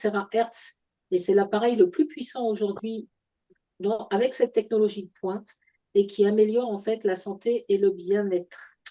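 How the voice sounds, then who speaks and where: A woman talks at a moderate pace. Her pitch sits in the medium range, and her intonation stays fairly even. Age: 60s. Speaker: product presenter. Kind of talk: sales pitch. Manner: halting, many fillers.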